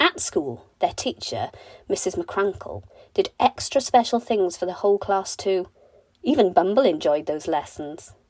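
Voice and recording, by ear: A woman at medium pitch, slightly mellow in tone, with lively intonation and a fairly slow pace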